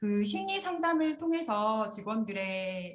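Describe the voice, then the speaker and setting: A woman's medium-pitched voice comes across somewhat breathy, with lively intonation. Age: 40s. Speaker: corporate counselor. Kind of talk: conference presentation.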